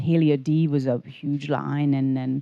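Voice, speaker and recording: A woman's very deep, low voice with a Hungarian accent and a dark, mellow tone, fairly even intonation and a fairly slow pace. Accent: Hungarian accent, noticeable. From Hungary. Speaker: spa owner and podcast co-host. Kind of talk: casual chat. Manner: hesitant, repeating words.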